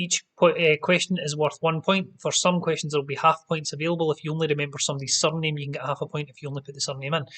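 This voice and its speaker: In a Scottish accent, a man speaks very fast with hardly any pauses, his fairly high voice monotone and flat yet swinging widely in loudness, the sound dry and close with no echo. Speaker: quiz host. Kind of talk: live-streamed pub quiz hosting. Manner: casual, chatty.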